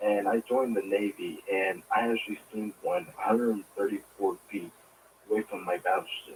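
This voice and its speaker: At a moderate pace, a man talks quietly. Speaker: caller, navy veteran. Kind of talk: call-in radio question. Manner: quiet, hard to hear.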